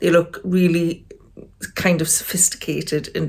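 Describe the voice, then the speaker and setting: In a very clean recording with a silent background, a woman with a Geordie accent speaks at a moderate pace. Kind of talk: casual talk to camera.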